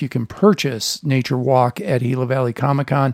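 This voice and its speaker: A man with an American accent has an ordinary speaking voice and a fairly high pitch. He talks at a moderate pace, with a dry, close sound and no echo. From US Midwest (Chicago). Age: 50s. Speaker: podcast host. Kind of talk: casual chat.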